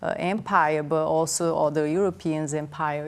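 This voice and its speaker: A woman speaks at a very deep, low pitch in a flat monotone, at a fairly slow pace. The recording is very clean, with a silent background. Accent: Portuguese. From Brazil. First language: Portuguese. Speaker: anthropologist. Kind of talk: TV interview. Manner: halting.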